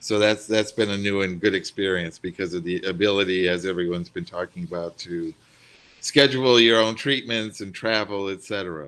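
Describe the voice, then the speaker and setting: Speaking at a fairly quick pace, a man with a fairly low pitch uses ordinary pitch variation in a plain, everyday voice. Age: 60s. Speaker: home dialysis patient. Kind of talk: panel discussion.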